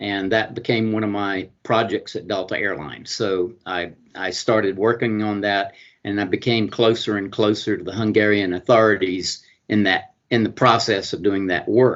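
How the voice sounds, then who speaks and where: A man's fairly low voice at a moderate pace, monotone and flat in intonation. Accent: Southern US. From US South, Georgia. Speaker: honorary consul and international business lawyer. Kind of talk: interview. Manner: halting, many fillers.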